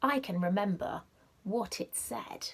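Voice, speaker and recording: A put-on character voice sounds female and sits at a medium pitch. It moves at a fairly slow pace. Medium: read story.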